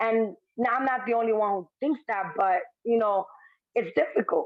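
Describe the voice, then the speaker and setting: In a Spanish accent, a woman speaks at a moderate pace with very even loudness and ordinary pitch variation. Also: fairly high pitch for a woman. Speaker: former shelter resident, housing policy fellow. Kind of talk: interview. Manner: casual, filler-heavy.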